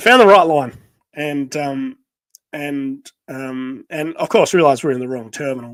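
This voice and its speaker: Speaking with an Australian accent, a man has a fairly high pitch and big swings in loudness. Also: ordinary pitch variation, moderate pace. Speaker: podcast co-host. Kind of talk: casual chat. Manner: halting.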